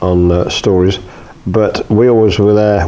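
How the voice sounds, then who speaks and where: A moderate pace, monotone, flat intonation and a British accent, with noticeable background noise. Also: man. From UK. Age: 70s. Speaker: retired journalist and filmmaker. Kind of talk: interview. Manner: hesitant, many fillers.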